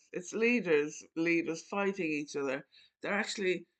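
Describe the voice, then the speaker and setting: Against a quiet background, a woman with an Irish accent speaks at a moderate pace with ordinary pitch variation. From Ireland. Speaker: channel host talking to an AI voice. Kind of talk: casual chat.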